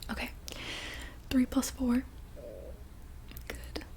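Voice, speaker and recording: The voice is soft-spoken, with a calm tone and a moderate pace. Noticeable background noise sits behind it. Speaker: ASMR creator guiding calming exercises. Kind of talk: guided easy math game. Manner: soft-spoken, calm, reassuring.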